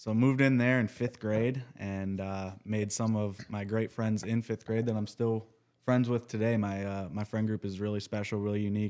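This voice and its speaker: A man with an Upper Midwest accent, fairly low pitch, monotone, flat intonation, moderate pace and hardly any pauses. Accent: Upper Midwest American. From Minnesota, Monticello. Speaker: podcast guest. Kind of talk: casual chat.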